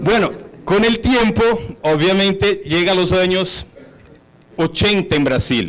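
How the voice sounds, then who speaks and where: Amid noticeable background noise, a man with a high pitch and ordinary pitch variation speaks at a fairly slow pace. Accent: Brazilian. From Brazil, São Paulo (born in Bolivia). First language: Portuguese (speaking Spanish). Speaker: hotel executive. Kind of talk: conference talk.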